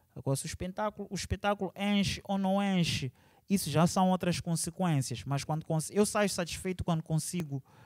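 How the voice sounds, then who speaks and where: A man's high pitch with ordinary pitch variation, moderate pace and a quiet background. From Maputo, Mozambique. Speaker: musician and multidisciplinary artist; interviewee. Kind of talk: interview. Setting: cultural centre venue. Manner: casual, with English interjections. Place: hall. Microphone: handheld.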